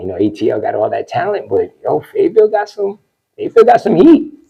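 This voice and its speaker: Speaking in a New York accent, a man delivers his words fairly quickly. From New York, Westchester County (New Rochelle). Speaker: DJ. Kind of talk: interview. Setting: studio. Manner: animated.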